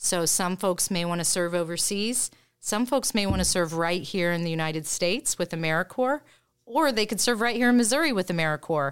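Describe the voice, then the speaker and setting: In a very clean recording with a silent background, a woman talks at a moderate pace with an ordinary speaking voice, a fairly low pitch and ordinary pitch variation. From Indiana. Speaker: nonprofit executive director. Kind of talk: interview.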